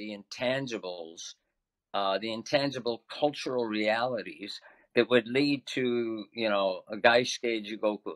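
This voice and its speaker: Recorded dry and close with no echo, a man with an unremarkable speaking voice talks at a fairly slow pace, at medium pitch with ordinary pitch variation. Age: 60s. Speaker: semi-retired podcast co-host. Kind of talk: panel discussion.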